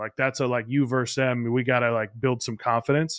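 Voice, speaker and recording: In an ordinary speaking voice, a man talks at a fairly quick pace and medium pitch, with a dry, close sound with no echo. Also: quiet background. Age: 30s. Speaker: podcast host, catching coach. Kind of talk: casual interview.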